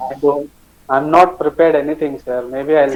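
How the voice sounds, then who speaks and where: With noticeable background noise behind him, a man of fairly high pitch speaks at a moderate pace in a monotone, flat intonation. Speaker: speaker and singer in a group session.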